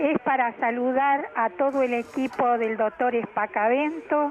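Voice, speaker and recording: Through noticeable background noise, a woman with a high pitch talks at a fairly slow pace with ordinary pitch variation. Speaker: listener leaving a voice message. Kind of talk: recorded voice message.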